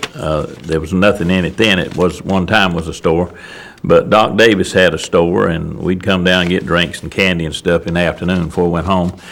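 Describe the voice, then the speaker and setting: With very deep, low pitch and fairly even intonation, a man talks at a fairly quick pace against noticeable background noise. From US South, Wilkes County, North Carolina. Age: 70s. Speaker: elderly local resident, oral history interviewee. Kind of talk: oral history interview. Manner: halting, many fillers.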